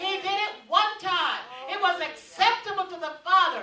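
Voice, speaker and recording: A woman with an extremely high pitch uses a raised, projected voice at a moderate pace, with light background noise and audible room echo. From Jamaica. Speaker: preacher. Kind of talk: sermon. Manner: animated. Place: meeting room.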